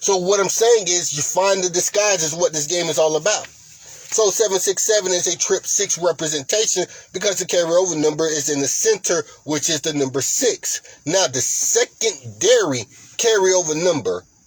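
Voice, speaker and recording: Speaking at a moderate pace with ordinary pitch variation, a man with a high voice comes through over noticeable background noise. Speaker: lottery strategy channel host. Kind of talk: tutorial.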